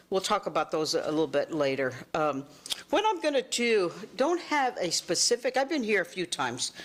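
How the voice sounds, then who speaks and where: Over noticeable background noise, a woman with a medium-pitched voice talks at a moderate pace, her pitch swinging very widely. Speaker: master gardener. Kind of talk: talk to community group. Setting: neighborhood meeting with audience. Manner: animated.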